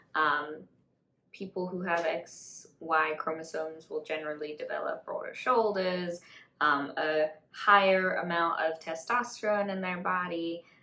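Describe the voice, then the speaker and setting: Using a normal speaking voice, a woman with a fairly low pitch speaks at a fairly slow pace with fairly even intonation. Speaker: mental health counselor. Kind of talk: educational talk. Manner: casual, conversational.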